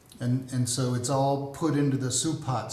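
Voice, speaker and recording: A man with an American accent speaks over noticeable background noise, his voice carrying an audible room echo. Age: 70s. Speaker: army veteran and business coach. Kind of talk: podcast interview.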